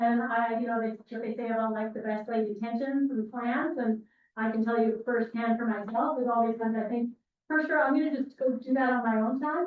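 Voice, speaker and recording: A woman with a Canadian accent, fairly high in pitch, fairly quick in pace and fairly even in intonation. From Alberta, Canada. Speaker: university instructor. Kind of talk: lecture. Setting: classroom, recorded with Zoom. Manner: fast.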